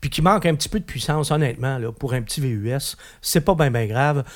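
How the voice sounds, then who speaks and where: Ordinary pitch variation marks a man's somewhat breathy voice with a Quebec accent. The recording is very clean, with a silent background. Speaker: automotive journalist. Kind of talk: casual car review discussion.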